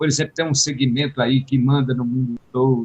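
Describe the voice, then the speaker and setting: A man's somewhat breathy voice sits at a fairly high pitch in a dry, close recording with no echo. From Ceará, Brazil. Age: 70s. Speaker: repentista poet. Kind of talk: radio interview.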